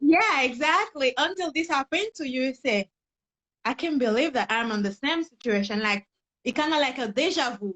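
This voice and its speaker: In a Haitian accent, a woman speaks at a high pitch. Her pitch swings very widely. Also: moderate pace. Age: young. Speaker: personal development coach. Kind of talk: interview testimony.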